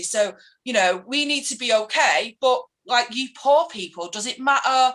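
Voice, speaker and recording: A woman's high, bright, sharp voice in a Mancunian accent, at a fairly slow pace. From Manchester, England. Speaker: political activist. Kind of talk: casual interview chat. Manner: animated, ranting.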